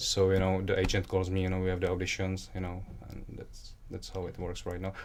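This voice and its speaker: With a Czech accent, a man speaks at a fairly quick pace in a very deep, low voice. His intonation is monotone and flat, and room echo is audible. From Czech Republic. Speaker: aspiring model and actor. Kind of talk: interview. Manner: halting, many fillers.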